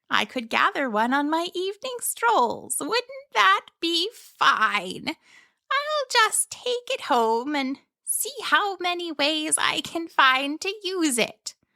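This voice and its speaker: A woman puts on a cheerful, squeaky character voice at an extremely high pitch with very wide pitch swings. She goes at a very slow pace with hardly any pauses, in a dry, close sound with no echo. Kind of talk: bedtime story. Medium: read story. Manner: cheerful, chatty, wondering.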